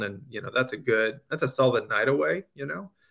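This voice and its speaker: A man at medium pitch, very fast pace and ordinary pitch variation. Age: 40s. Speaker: comedian. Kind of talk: casual chat.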